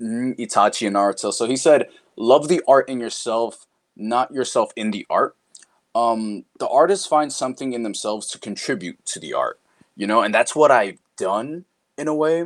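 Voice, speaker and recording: With a New York accent, a man speaks at moderate pace and medium pitch, his intonation lively and his loudness swinging widely, in a dry, close sound with no echo. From Queens, New York (born Dominican Republic). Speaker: voice actor. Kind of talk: casual interview chat.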